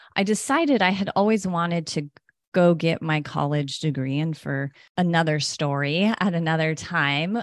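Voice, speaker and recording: An ordinary speaking voice talks at a moderate pace with ordinary pitch variation. The background is quiet. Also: woman. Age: 40s. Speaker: health coach and podcast co-host. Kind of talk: casual interview chat.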